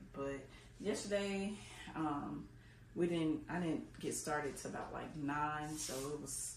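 A woman's very deep, low-pitched voice with vocal fry, audible room echo, and light background noise. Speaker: fitness vlogger. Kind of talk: casual vlog chat. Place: garage. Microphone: camera far.

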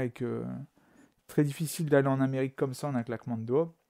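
A man's voice, medium in pitch with a dark, mellow tone, has fairly even intonation. The recording is very clean with a silent background, the sound dry and close with no echo. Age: 40s. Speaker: amateur musician sharing a paranormal story. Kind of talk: testimony.

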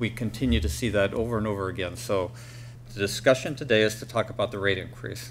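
With light background noise, a man speaks at a fairly low pitch with vocal fry and ordinary pitch variation. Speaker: county supervisor. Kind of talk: public meeting remarks. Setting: public board meeting. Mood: firm, defensive. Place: hall. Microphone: podium.

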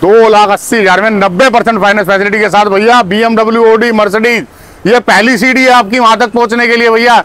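A man's high-pitched, fairly bright voice, fairly quick, with few pauses and fairly even intonation

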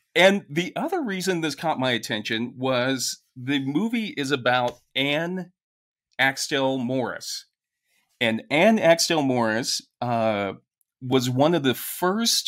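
Very slow delivery against a quiet background. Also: man. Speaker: podcast co-host. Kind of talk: casual podcast conversation. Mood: jokey, animated. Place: home room. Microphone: studio mic.

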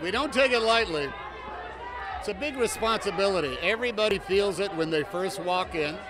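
A man speaks with lively intonation in a high voice while crowd noise carries on in the background. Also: fairly quick pace. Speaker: actor at premiere. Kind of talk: interview answer. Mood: warm, reflective. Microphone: handheld.

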